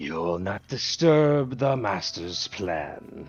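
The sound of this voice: A man puts on a character voice at a fairly low pitch and a very slow pace. Faint music plays in the background, along with some hissing.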